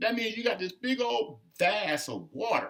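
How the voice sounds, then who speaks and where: A man with an American accent projects a raised voice in a bright, sharp tone. He speaks at a fairly slow pace, animated, with very wide pitch swings. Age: 60s. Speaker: political commentator. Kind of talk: casual monologue.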